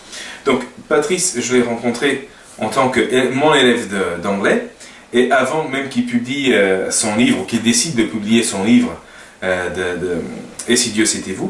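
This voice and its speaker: A man with a medium pitch speaks at a fairly slow pace with lively intonation. Room echo and noticeable background noise can be heard. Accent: Portuguese. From Portugal. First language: Portuguese (speaking French). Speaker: language teacher and web designer. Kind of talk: casual talk to camera. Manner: halting, many hesitations.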